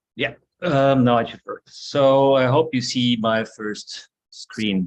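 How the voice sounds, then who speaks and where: A man with a German accent and a medium pitch speaks at a very slow pace, with big swings in loudness. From Germany. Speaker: architecture professor. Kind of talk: lecture.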